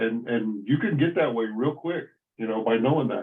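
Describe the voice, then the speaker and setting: The speaker is a man with an American accent. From United States. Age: 60s. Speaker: roundtable host, ex-military. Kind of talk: group discussion. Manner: halting, repetitive.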